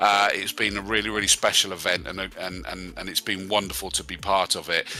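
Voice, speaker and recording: Amid noticeable background noise, a man with a fairly low voice and a West Country accent talks at a fairly quick pace with fairly even intonation. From West Country, England. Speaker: sim racing commentator. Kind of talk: live commentary sign-off. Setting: live stream. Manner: hesitant, many fillers.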